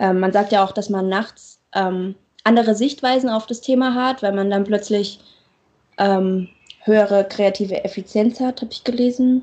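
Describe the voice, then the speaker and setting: A woman with a fairly high pitch speaks at a moderate pace, leaving long, frequent pauses. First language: not German (speaking German). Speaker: marine science student podcaster. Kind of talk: casual chat.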